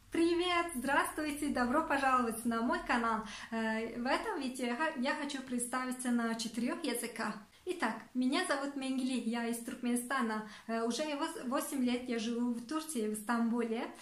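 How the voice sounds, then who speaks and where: Amid audible room echo and noticeable background noise, a woman with a high voice speaks at a fairly slow pace with hardly any pauses and ordinary pitch variation. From Turkmenistan. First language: Turkmen (speaking Turkish). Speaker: vlogger. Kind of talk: self-introduction to camera in four languages. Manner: halting, with fillers and restarts.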